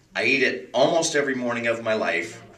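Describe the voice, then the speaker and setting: Noticeable background noise beneath a man's animated tone. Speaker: counselor leading a class. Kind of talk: lecture. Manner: fast.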